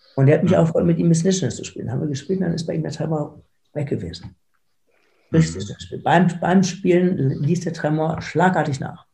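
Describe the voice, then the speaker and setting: Using a fairly quick pace, a man talks in a dark, mellow tone with a fairly high pitch and vocal fry. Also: ordinary pitch variation. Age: 50s. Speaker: foundation founder with Parkinson's, lawyer and entrepreneur. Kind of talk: interview. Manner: halting, with repeated words.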